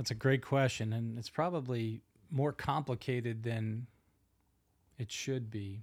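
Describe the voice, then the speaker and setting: A man with a Northeastern US accent at a fairly slow pace, fairly even intonation and long, frequent pauses, on a very clean recording with a silent background. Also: medium pitch for a man. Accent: Northeast US. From US Northeast, Philadelphia. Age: 50s. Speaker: pastor. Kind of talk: casual chat. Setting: home studio.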